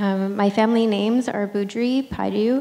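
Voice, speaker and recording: In an unremarkable speaking voice, a woman with a Canadian accent speaks at medium pitch and a fairly slow pace with fairly even intonation. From western Canada, British Columbia. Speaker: visual artist. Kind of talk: panel discussion.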